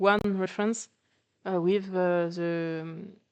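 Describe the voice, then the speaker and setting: The speech is very slow and delivered in a flat monotone. The background is quiet. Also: woman. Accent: non-native. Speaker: artist. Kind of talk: presentation talk, unscripted. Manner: hesitant, many fillers.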